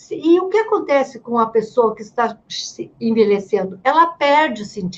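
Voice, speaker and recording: Speaking at a moderate pace with hardly any pauses, a woman with a high pitch makes very wide pitch swings and big swings in loudness. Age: 70s. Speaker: writer and gerontologist. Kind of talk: casual interview chat.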